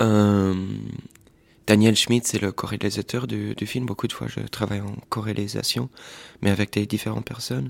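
Dry and close with no echo, a man's fairly low voice moves at a moderate pace with ordinary pitch variation and long, frequent pauses. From Portuguese family, raised mostly in Washington DC. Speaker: filmmaker and artist. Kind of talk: interview. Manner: halting, with repetitions and fillers.

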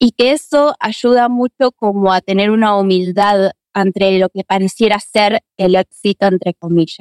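A woman with a normal speaking voice talks at a medium pitch and a fairly slow pace, with ordinary pitch variation, hardly any pauses, and a dry, close sound with no echo. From Argentina (Buenos Aires). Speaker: actress and acting teacher. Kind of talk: interview conversation.

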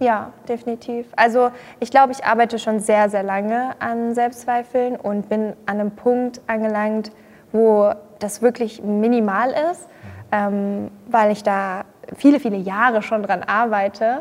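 In a normal speaking voice with a fairly high pitch, a woman talks at a fairly slow pace with fairly even intonation and big swings in loudness. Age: 20s. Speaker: social media creator and yoga practitioner. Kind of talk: casual chat.

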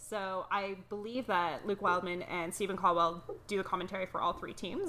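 In a Canadian accent, a woman talks at a fairly quick pace. Her tone is bright and sharp. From Toronto, Canada. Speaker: podcast co-founder and soccer fan.

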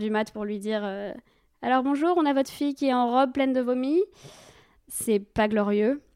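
In a very clean recording with a silent background, a woman talks at a moderate pace in a normal speaking voice with ordinary pitch variation. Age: 20s. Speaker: storyteller guest. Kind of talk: personal testimony.

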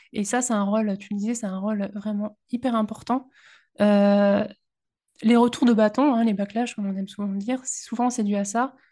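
A woman with a dark, mellow tone and a fairly high pitch speaks at a moderate pace in a monotone, flat intonation over a quiet background. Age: 30s. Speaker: university librarian and podcaster. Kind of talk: casual chat.

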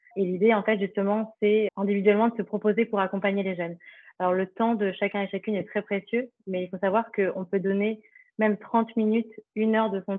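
A woman talks at a moderate pace and medium pitch. Her intonation is monotone and flat. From France, eastern Paris. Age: 30s. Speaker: nonprofit founder. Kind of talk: interview. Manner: hesitant, many fillers.

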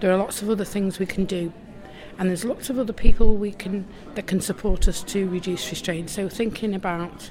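Over noticeable background noise, a woman of medium pitch speaks at a moderate pace with fairly even intonation. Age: 60s. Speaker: mental health lived-experience advocate. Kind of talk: interview. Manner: hesitant, frequent ums.

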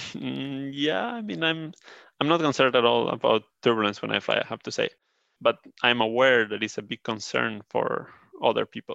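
His pace is moderate. The man talks with a Spanish accent. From Spain. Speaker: turbulence engineer. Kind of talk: interview.

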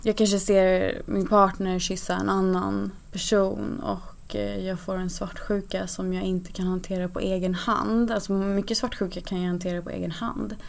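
There is audible room echo around a woman's voice. She speaks at a moderate pace with hardly any pauses. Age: 20s. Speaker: polyamorous guest sharing experiences. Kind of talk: interview.

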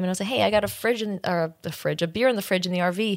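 A woman with an American accent talks at a very fast pace and a medium pitch. The recording is very clean, with a silent background. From New York. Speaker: documentary director. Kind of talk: interview.

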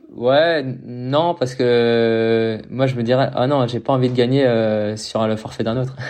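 Speaking very slowly, a man keeps a medium pitch and fairly even intonation. Audible room echo and noticeable background noise accompany him. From Paris region, France. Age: 20s. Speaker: professional triathlete. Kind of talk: casual interview.

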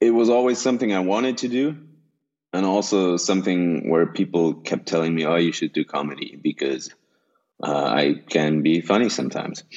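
A man with a European accent speaks at a moderate pace in a very deep, low pitch with lively intonation. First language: German. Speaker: stand-up comedian and actor. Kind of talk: casual chat.

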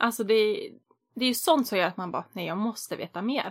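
A woman speaks at a fairly quick pace in a fairly high, somewhat breathy voice. The recording is very clean, with a silent background. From Västerås, Sweden. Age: 30s. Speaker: podcast host. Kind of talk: casual chat.

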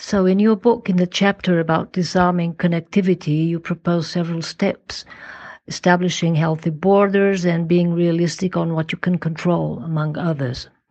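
Her intonation fairly even, a woman talks with a fairly low pitch. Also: moderate pace. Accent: Portuguese. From Portugal. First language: Portuguese. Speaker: former government minister, think tank council member. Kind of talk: recorded listener question.

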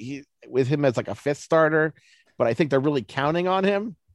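Against a quiet background, a man with an American accent speaks at a fairly quick pace in an unremarkable speaking voice, fairly high in pitch with ordinary pitch variation. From Baltimore, US. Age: 40s. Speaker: baseball analyst. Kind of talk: interview.

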